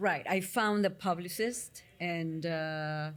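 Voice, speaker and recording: A woman with an Argentinian accent speaks at a fairly low pitch with fairly even intonation. The recording is very clean, with a silent background. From Argentina. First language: Spanish. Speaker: psychotherapist. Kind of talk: interview.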